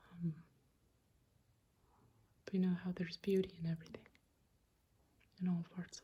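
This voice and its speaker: Someone soft-spoken talks at a moderate pace. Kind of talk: casual talk to camera, room tour.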